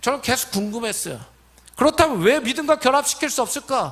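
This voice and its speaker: The man's voice has a bright, sharp tone. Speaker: pastor. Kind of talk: sermon. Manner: fast.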